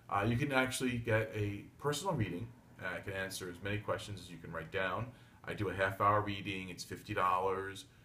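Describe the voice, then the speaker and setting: Fairly quick and bright, sharp in tone, a man's voice sits at a fairly low pitch with ordinary pitch variation and big swings in loudness, with audible room echo. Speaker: tarot reader / psychic. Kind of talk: solo video monologue (daily tarot reading). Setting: home reading desk, filmed video. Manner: fast; blunt.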